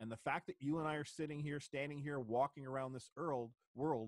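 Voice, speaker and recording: Speaking very fast with a Canadian accent, a man shows ordinary pitch variation in a dry, close sound with no echo. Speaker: common law activist. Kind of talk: interview.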